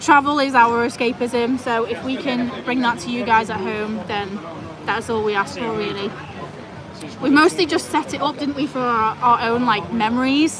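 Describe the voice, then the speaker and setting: A loud woman's voice, high in pitch with ordinary variation, at a moderate pace amid crowd noise and audible room echo. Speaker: travel vlogger; vet nurse. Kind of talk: live stream chat. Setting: restaurant, live stream.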